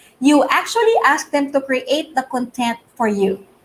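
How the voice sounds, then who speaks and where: Lively intonation in a woman's high voice. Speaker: digital marketing show co-host. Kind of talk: live-streamed marketing talk. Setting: live stream.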